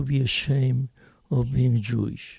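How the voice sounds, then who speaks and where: Dark and mellow in tone and somewhat breathy, the voice moves at a very slow pace with a dry, close sound and no echo. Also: man. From Argentina. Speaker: storyteller. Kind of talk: personal storytelling.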